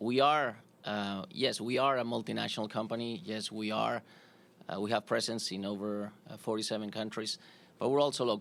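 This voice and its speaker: In a Spanish accent, a man talks at a moderate pace with a fairly low pitch and ordinary pitch variation. The recording is very clean with a silent background. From Spain, Madrid. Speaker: corporate executive, sponsor representative. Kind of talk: press conference. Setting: press conference with audience. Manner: halting, many fillers.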